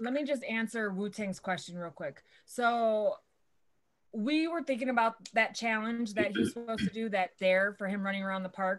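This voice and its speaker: A woman speaks at a moderate pace with a fairly high pitch. Her pitch variation is ordinary. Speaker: vape channel co-host. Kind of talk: casual live stream chat. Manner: quiet, not loud-voiced. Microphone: quiet on stream, moves mic closer.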